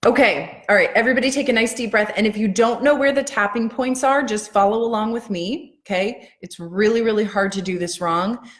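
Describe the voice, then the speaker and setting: Using an ordinary speaking voice, a woman talks at a fairly quick pace with ordinary pitch variation and hardly any pauses. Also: fairly high pitch for a woman. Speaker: EFT tapping coach. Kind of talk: live-stream guided tapping session. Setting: live video stream at home.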